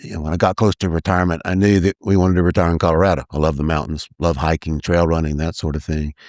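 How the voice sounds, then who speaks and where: A man with a Texas accent and very deep, low pitch, at a very fast pace with fairly even intonation, the sound dry and close with no echo on a very clean recording with a silent background. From East Texas, US. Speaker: mayoral candidate. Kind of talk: casual interview.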